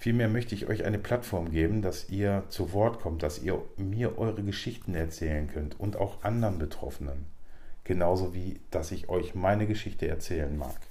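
Audible room echo surrounds a man's very deep, low voice with a dark, mellow tone. He sounds somewhat breathy and speaks at a moderate pace with ordinary pitch variation. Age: 40s. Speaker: podcast host. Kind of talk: monologue.

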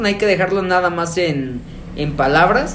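Lively intonation marks this man's fairly slow speech. Noticeable background noise and audible room echo come through. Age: 20s. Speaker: podcast co-host. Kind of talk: casual chat.

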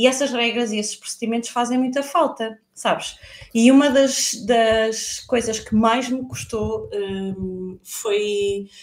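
At a very slow pace, a woman with a European Portuguese accent speaks with a fairly high pitch and fairly even intonation. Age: 40s. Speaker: freelance marketer. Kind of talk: live podcast interview.

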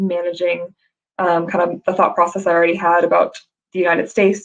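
Speaking in an American accent, a woman talks at a fairly quick pace in a fairly low pitch. Her intonation is monotone and flat. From US South, Georgia. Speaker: recruitment executive. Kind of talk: career talk presentation. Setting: video call.

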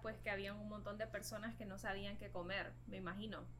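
A woman is speaking with an audible room echo. There is noticeable background noise too. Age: 20s. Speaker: vegan cook. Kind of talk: casual interview.

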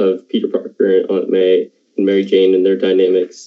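At a moderate pace, a man speaks in a Canadian Maritime accent. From Canada, Halifax. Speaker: podcast host, video editor. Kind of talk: casual chat.

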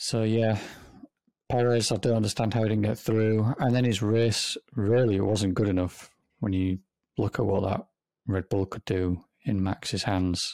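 At a moderate pace, a speaker with an English accent uses fairly even intonation and a dark, mellow tone. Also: man, fairly low pitch for a man. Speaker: podcast co-host.

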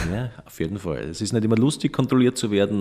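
This very clean recording, with a silent background, captures a man's voice. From Austria, Styria (near Graz). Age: 40s. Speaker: organic dairy farmer. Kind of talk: interview.

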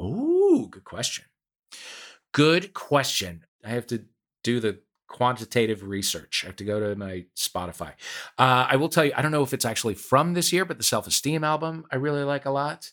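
Recorded very cleanly against a silent background, a man with a normal speaking voice talks at a moderate pace and medium pitch, with lively intonation and big swings in loudness. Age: 50s. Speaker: podcast co-host. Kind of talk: casual chat.

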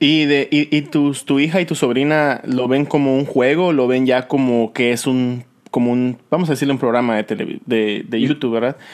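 With a normal speaking voice, a man speaks at a medium pitch and moderate pace, with ordinary pitch variation, very even loudness and hardly any pauses. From Yucatán, Mexico. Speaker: podcast host. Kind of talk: casual interview chat.

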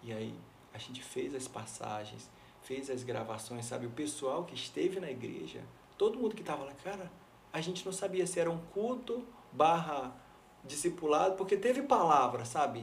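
A man with a fairly high pitch talks at a moderate pace, his pitch swinging very widely and his loudness shifting a lot. Noticeable background noise and audible room echo fill the recording. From São Luís, Maranhão, Brazil. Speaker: pastor and worship leader. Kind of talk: interview testimony.

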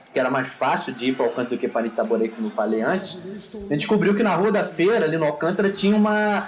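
A man's high voice at a very fast pace, very wide pitch swings, hardly any pauses, and noticeable background noise. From Rio de Janeiro, Brazil. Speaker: music podcast host. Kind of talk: casual chat.

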